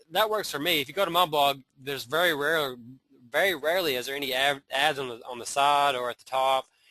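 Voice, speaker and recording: A bright, sharp voice in a Southern US accent, fairly quick, with ordinary pitch variation and a quiet background. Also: man. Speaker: internet marketer. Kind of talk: webinar training. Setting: live webinar. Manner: casual, hesitant with many fillers.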